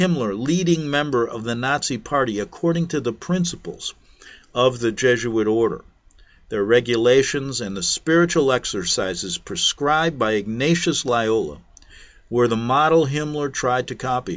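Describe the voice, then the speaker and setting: Speaking in a normal speaking voice, a man talks at a medium pitch and moderate pace with lively intonation. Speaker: talk radio host. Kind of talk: talk radio monologue.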